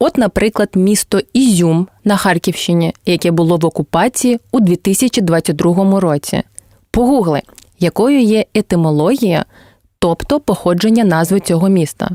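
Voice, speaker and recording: On a very clean recording with a silent background, a woman with a medium pitch and a dark, mellow tone speaks at a fairly slow pace with very even loudness and ordinary pitch variation, in a dry, close sound with no echo. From Crimea, southern coast. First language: Crimean Tatar (speaking Ukrainian). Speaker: language teacher and translator. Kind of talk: scripted educational narration.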